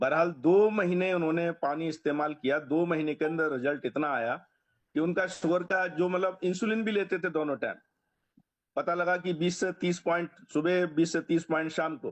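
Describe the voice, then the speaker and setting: His pitch is high. This man's intonation remains fairly even. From Delhi, India. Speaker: customer giving a testimonial. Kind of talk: testimony.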